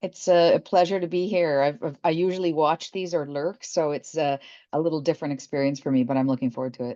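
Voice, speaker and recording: Against a quiet background, a woman with a Canadian accent talks at a very fast pace in a very deep, low, dark, mellow voice with ordinary pitch variation. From Toronto, Canada. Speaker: chemistry professor, scientific director. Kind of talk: interview.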